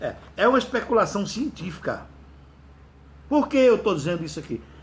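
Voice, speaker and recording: This man's intonation is lively, and his pace stays moderate. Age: 60s. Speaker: religious and ufology video host. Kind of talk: casual religious monologue. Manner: halting.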